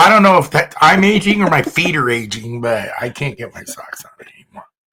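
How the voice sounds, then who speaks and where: Fairly high male voice at a fairly quick pace, with very wide pitch swings and big swings in loudness. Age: 60s. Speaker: podcast host. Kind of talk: casual chat.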